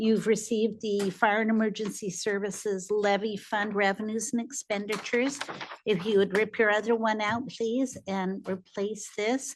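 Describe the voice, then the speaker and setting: A woman's fairly high voice at a moderate pace, monotone and flat in intonation. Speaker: city finance staff. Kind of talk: budget meeting presentation.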